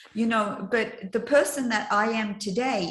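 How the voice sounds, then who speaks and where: In a room with audible echo, a woman speaks fairly slowly at a fairly high pitch with ordinary pitch variation. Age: 60s. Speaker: life coach and trainer. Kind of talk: casual chat.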